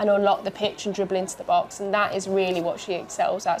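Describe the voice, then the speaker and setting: Over noticeable background noise, a woman with a medium pitch speaks at a very fast pace in a strong Birmingham accent. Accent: strong Birmingham (Brummie). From Birmingham, English Midlands. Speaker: football pundit. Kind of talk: live match watchalong commentary. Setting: studio.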